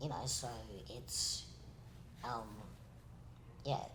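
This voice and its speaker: Audible room echo fills the recording. The voice is a man's. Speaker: podcast co-host. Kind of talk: casual chat.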